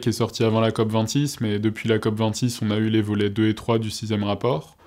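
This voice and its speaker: A man talks at a moderate pace in a fairly low pitch with a dark, mellow tone. His intonation is monotone and flat, and the background is quiet. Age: 20s. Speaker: student and youth climate delegate. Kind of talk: interview. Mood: calm, explanatory. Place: studio. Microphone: lapel.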